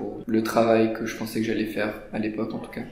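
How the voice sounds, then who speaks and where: Amid noticeable background noise and audible room echo, a man speaks in a flat monotone at a medium pitch. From France, Paris. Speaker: student. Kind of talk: interview. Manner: hesitant, many fillers.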